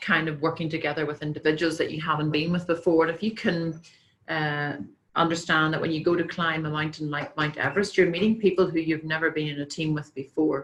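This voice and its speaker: A woman speaks in a very deep, low pitch with a Northern Irish accent. Her pace is fairly quick and her intonation monotone and flat. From Northern Ireland. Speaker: company president and speaker. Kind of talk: conference talk with slides. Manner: hesitant with many fillers.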